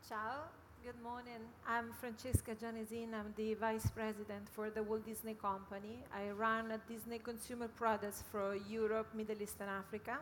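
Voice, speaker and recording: Over noticeable background noise, a woman with an Italian accent speaks at a moderate pace with a fairly high pitch and monotone, flat intonation. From Italy, Milan. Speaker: media company executive. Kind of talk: panel discussion.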